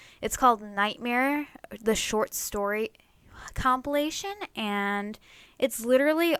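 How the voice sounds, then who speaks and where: A woman speaks with an American accent in an ordinary speaking voice. Her pace is fairly slow and her pitch varies in an ordinary way. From United States. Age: 20s. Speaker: artist and vlogger. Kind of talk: casual storytime vlog. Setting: bedroom. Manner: casual, many fillers.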